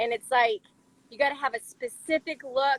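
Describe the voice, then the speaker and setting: Fairly quick and with fairly even intonation, a woman speaks in a normal speaking voice with a dry, close sound and no echo. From US South, Chattanooga, Tennessee. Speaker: professional roller skater and dancer. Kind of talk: casual interview. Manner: casual, filler-heavy.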